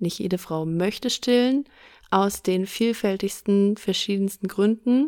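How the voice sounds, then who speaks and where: A woman's plain, everyday voice at a fairly slow pace, ordinary pitch variation, very clean recording with a silent background. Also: medium pitch for a woman. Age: 30s. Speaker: podcast host. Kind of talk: casual chat.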